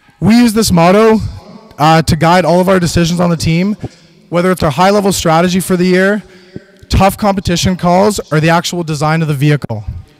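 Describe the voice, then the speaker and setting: High male voice at a fairly quick pace, with ordinary pitch variation, very even loudness and noticeable background noise. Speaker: student team lead presenter. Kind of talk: presentation. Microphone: echoey microphone.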